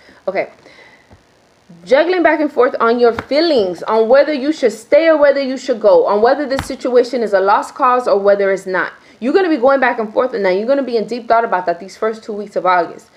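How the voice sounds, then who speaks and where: The speech comes at a fairly quick pace, with an animated tone and lively intonation. Noticeable background noise runs underneath. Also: woman, high pitch for a woman. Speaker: tarot reader. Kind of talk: tarot reading monologue. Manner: fast.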